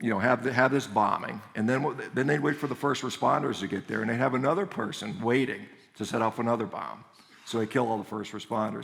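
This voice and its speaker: A man with an American accent speaks at a very fast pace and a medium pitch. His voice carries vocal fry. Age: 50s. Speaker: orthopedic surgeon and speaker. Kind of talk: conference talk. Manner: animated.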